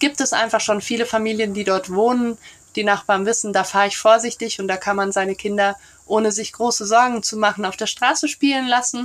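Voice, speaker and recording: A woman with an unremarkable speaking voice talks at a fairly quick pace, fairly high in pitch, with fairly even intonation. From Brussels, Belgium. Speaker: neighbourhood café organiser. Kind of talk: casual interview.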